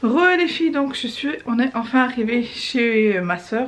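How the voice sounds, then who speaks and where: A woman's high voice with lively intonation over noticeable background noise. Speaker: vlogger. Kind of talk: casual vlog talk to camera. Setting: in a car. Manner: soft-spoken.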